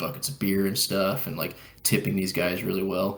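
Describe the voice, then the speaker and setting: A man's fairly low voice with audible room echo. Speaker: podcast co-host. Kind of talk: casual chat. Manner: animated.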